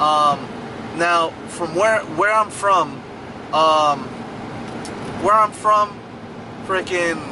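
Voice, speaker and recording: A man speaks very slowly in a high pitch, with long, frequent pauses. Noticeable background noise runs underneath. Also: ordinary pitch variation. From New York City, the Bronx (Fordham, Grand Concourse). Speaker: YouTuber / vlogger. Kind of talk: casual vlog monologue. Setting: in a car, driving through a thunderstorm. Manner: hesitant, many fillers and repetitions.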